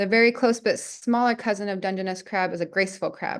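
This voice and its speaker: A woman talks at a moderate pace in a plain, everyday voice. Her pitch is medium, and the background is quiet. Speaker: community science educator. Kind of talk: tutorial.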